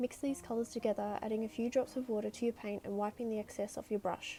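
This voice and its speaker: With an Australian accent, a woman speaks at a fairly quick pace, her fairly high voice dark and mellow in tone with fairly even intonation. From Sydney, Australia. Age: 20s. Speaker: artist. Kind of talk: painting tutorial narration.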